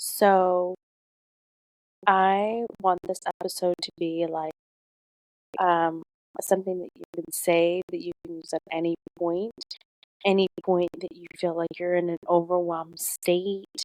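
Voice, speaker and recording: A woman talks calmly at a fairly slow pace, with long, frequent pauses and big swings in loudness. Her fairly low pitch stays monotone and flat, and the sound is dry and close with no echo. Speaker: podcast host. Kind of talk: calm motivational talk.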